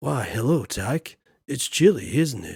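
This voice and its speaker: Using a raspy, put-on character voice at medium pitch, a man speaks fairly slowly with very wide pitch swings in a dry, close sound with no echo. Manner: silly.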